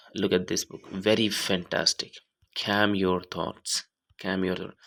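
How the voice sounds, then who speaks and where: A man with an Indian accent speaks at a fairly low pitch in a bright, sharp tone with monotone, flat intonation. The recording is very clean, with a silent background. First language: Hindi. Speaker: YouTuber reading books aloud. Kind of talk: casual introduction before reading aloud. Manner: halting.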